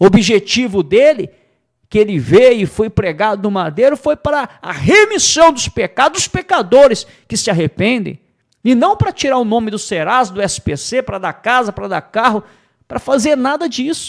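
Against a quiet background, a man speaks in a high pitch with very wide pitch swings. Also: moderate pace. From Brazil. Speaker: preacher. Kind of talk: sermon. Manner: emphatic, repetitive pulpit delivery; earnest, teaching tone. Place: studio. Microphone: studio mic.

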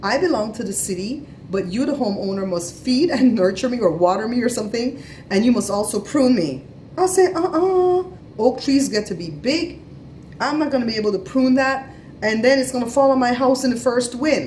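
Over light background noise, a woman with a high voice talks at a fairly quick pace, her pitch swinging very widely. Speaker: family vlogger. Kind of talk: casual vlog chat. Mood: animated, storytelling. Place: home room. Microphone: phone near.

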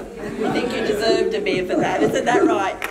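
Loud background noise fills the clip. Through it, a woman talks at a moderate pace. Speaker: city councillor, moderator. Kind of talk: event moderation. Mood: warm, joking. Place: hall.

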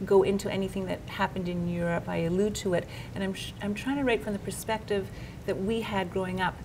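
A woman's fairly quick, fairly even-toned speech over noticeable background noise. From Canada, Montreal. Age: 50s. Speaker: novelist. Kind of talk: interview. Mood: reflective, warm. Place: office.

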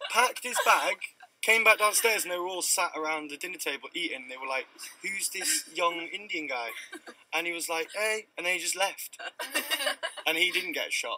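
Speech moves at a moderate pace, with noticeable background noise underneath. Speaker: guest. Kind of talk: interview answer. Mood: amused, telling a story. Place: car.

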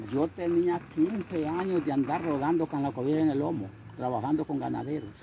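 Noticeable background noise accompanies a man's dry sound with no echo. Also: ordinary pitch variation, moderate pace. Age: 70s. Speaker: can collector living in poverty. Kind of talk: interview; testimony. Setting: at his home. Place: street.

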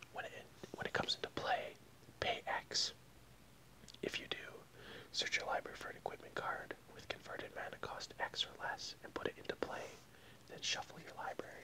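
Loud background noise sits under speech at a fairly quick pace. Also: man. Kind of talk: casual vlog chat reading card text. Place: home room. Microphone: earbuds.

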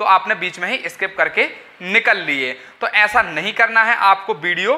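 A raised, projected voice at a fairly slow pace. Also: man. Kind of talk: explainer talk to camera. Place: home room. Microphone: lapel.

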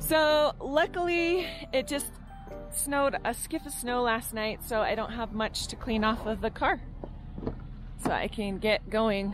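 With music in the background, a woman speaks high and with lively intonation at a fairly slow pace, leaving long, frequent pauses, the sound dry with no echo. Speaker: mountain cabin vlogger. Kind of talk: casual vlog chat. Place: open country. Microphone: phone near.

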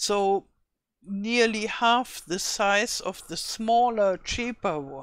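A woman speaks at a very slow pace with a German accent. The recording is very clean, with a silent background. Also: medium pitch for a woman, lively intonation. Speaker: gaming YouTuber. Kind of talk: tutorial. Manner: halting.

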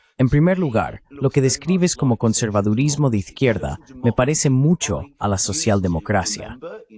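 Keeping a moderate pace and medium pitch, a man speaks with very wide pitch swings, very even loudness and hardly any pauses. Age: 60s. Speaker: political commentator. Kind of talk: interview.

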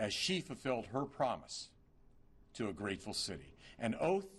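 Male speech marked by vocal fry. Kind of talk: formal eulogy speech. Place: hall. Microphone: podium.

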